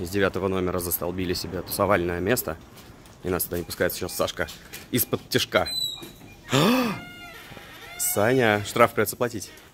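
Amid noticeable background noise, a man with a fairly low pitch and fairly even intonation speaks with long, frequent pauses. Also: moderate pace. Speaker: travel vlogger. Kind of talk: casual travel vlog narration. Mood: ironic, joking. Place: street. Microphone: phone near.

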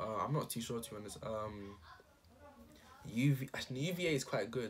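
Moving at a fairly quick pace, a man speaks with some breathiness. His pitch varies in an ordinary way. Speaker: student giving study advice. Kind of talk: casual talk to camera. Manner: unscripted, hesitant. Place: home room. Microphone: webcam.

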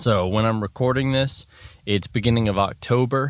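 A man talks in an ordinary speaking voice at a fairly low pitch and moderate pace with ordinary pitch variation, the sound dry with no echo and the background quiet. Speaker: podcast host. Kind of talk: casual podcast monologue. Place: open country.

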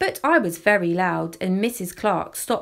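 With ordinary pitch variation, an unforced reading voice is heard.

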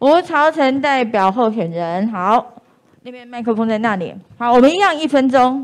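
A woman speaks at a moderate pace with a high pitch and lively intonation. Her loudness swings widely. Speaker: event moderator. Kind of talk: moderating a candidate forum. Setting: live-streamed indoor event with audience. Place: hall.

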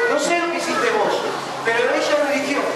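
Over loud background noise and audible room echo, a man speaks at a moderate pace with ordinary pitch variation. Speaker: children's preacher. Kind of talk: storytelling sermon to children. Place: hall.

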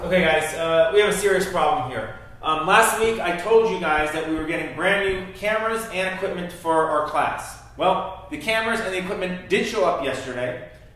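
A man speaks at a moderate pace in a high voice, with ordinary pitch variation and hardly any pauses. There is strong room echo. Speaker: teacher. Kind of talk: scripted drama scene, teacher addressing class. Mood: upset, serious. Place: classroom.

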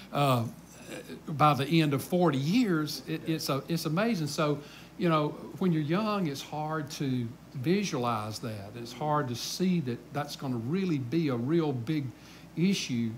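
With a Southern US accent, a man talks at a fairly high pitch over light background noise. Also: ordinary pitch variation, fairly slow pace. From US South. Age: 60s. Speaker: pastor. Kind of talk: Bible study teaching. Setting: church. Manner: casual. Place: church.

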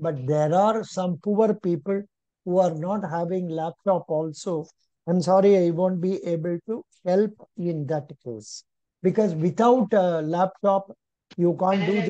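Against a quiet background, a man speaks at a fairly slow pace with ordinary pitch variation. His voice sits high in pitch yet carries a dark, mellow tone. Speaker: exam coaching teacher. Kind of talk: lecture. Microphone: video call.

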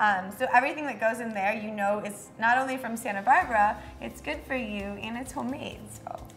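A woman talks at a fairly quick pace with big swings in loudness. Her pitch varies in an ordinary way over light background noise. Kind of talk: interview answer. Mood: friendly, smiling. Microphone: lapel.

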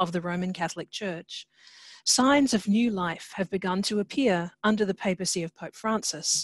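A woman talks at a fairly quick pace with ordinary pitch variation, in a dry sound with no echo over a quiet background. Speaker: host introducing a lecture. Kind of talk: formal welcome and introduction. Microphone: video call.

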